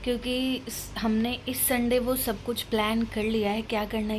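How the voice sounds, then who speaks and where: This woman's pitch is fairly high. Her voice is somewhat breathy. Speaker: lifestyle vlogger. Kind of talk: casual vlog chat.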